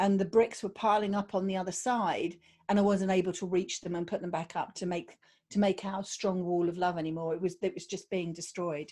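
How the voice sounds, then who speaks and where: In a very clean recording with a silent background, a woman with a British accent and dark, mellow tone speaks at a fairly quick pace and medium pitch with fairly even intonation. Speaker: podcast guest sharing abuse survival story. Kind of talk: personal testimony interview. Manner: hesitant, with fillers.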